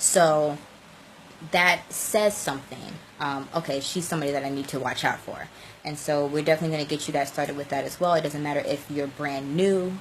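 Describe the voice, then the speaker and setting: A woman speaks at a fairly quick pace with a very deep, low pitch. There is noticeable background noise. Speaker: social media coach. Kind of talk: live stream tutorial. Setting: live video stream. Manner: fast; animated.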